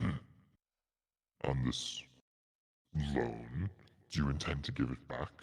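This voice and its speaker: This man puts on a character voice, pitched very deep and low, and talks at a fairly slow pace. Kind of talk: slow, grand fantasy dragon voice. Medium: actual play. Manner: measured, formal, pondering.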